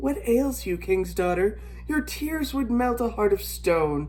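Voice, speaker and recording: This put-on character voice sits at a middle pitch and moves at a fairly slow pace. Background noise is clearly audible. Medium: read story.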